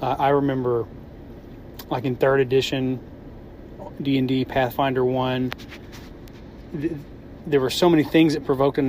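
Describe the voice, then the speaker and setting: A man's medium-pitched voice comes with monotone, flat intonation and noticeable background noise. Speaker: podcaster caller.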